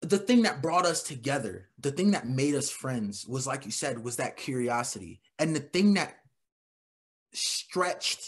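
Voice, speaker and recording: This man has an American accent, a fairly high pitch and an animated tone, with lively intonation throughout. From New York City, the Bronx. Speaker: military veteran and addiction coach. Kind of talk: casual chat.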